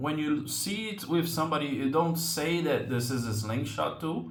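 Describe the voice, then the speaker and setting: Fairly slow, lively speech from a man in a fairly high voice with a Portuguese accent, amid audible room echo. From Brazil. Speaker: slingshot hobby channel host. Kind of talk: tutorial. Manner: hesitant, many fillers.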